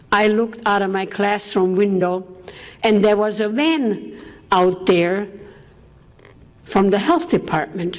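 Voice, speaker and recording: Against noticeable background noise, a woman speaks at a very slow pace and a medium pitch. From Austria. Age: 80s+. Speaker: war survivor speaker. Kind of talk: public talk.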